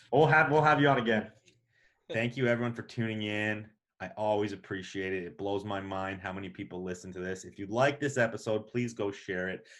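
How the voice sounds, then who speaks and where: On a very clean recording with a silent background, a man with a fairly low pitch and a normal speaking voice talks at a fairly quick pace, his pitch varying in an ordinary way while his loudness swings widely. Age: 40s. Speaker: podcast host. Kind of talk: casual chat; podcast outro.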